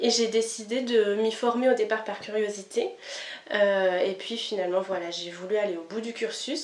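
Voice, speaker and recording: Through noticeable background noise, a woman talks at a moderate pace and a fairly high pitch with fairly even intonation. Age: 30s. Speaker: kinesiology practitioner. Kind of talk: interview. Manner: hesitant, many fillers.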